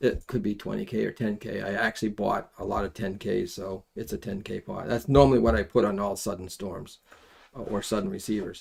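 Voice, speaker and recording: Fairly low-pitched with vocal fry, a man talks at a fairly quick pace, and his pitch varies in an ordinary way. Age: 70s. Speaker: amateur radio kit builder. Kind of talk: live stream tutorial. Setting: live stream. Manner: casual, hesitant with fillers.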